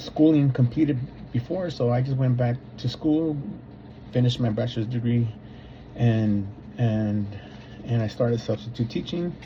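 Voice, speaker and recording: In a Spanish accent, a man speaks at a moderate pace and medium pitch, his dark, mellow, somewhat breathy voice showing ordinary pitch variation and long, frequent pauses. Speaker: substitute teacher and graduate student. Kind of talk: personal reflection for a course assignment. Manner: hesitant, many fillers and repeats.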